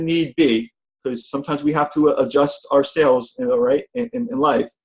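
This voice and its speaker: A man with a New Jersey accent speaks at a fairly quick pace. His tone is animated and his intonation lively. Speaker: motivational speaker and event trainer. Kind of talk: motivational talk on conference call. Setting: phone conference call. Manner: fast.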